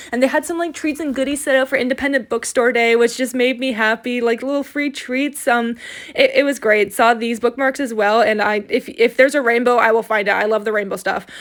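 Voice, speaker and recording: A woman speaks at a high pitch and a fairly quick pace. She hardly pauses at all. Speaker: book vlogger. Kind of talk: vlog voiceover narration. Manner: fast; casual with many fillers.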